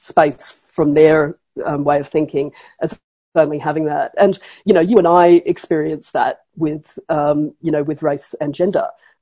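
A woman's very deep, low voice, dark and mellow in tone, with an Australian accent. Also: quiet background. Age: 50s. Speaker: professor. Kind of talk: interview.

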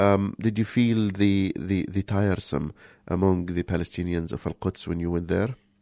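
Over a quiet background, a man with an Arabic accent speaks in a very deep, low voice, the sound dry and close with no echo. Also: moderate pace. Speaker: community radio co-host. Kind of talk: casual chat. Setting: studio. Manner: halting.

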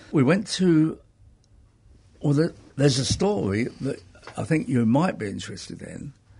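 Somewhat breathy and dark, mellow in tone, a man speaks at a fairly high pitch with very wide pitch swings. Long pauses come often. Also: moderate pace. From North London, England. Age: 70s. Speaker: interviewee, karate teacher. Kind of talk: casual interview. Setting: studio.

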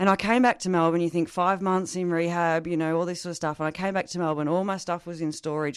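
A woman with an Australian accent speaks at a very fast pace in a fairly low pitch, her intonation fairly even over a quiet background. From rural northeast Victoria, Australia. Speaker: recovering alcoholic sharing recovery story. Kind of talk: interview testimony.

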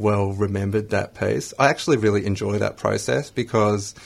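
A man speaks with an Australian accent. His voice is somewhat breathy and fairly low in pitch. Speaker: spoken word poet, radio studio guest.

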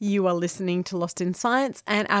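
A woman with an Australian accent speaks at a moderate pace with ordinary pitch variation, in a very clean, dry, close recording with no echo and a silent background. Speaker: science radio co-host. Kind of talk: interview. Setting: studio.

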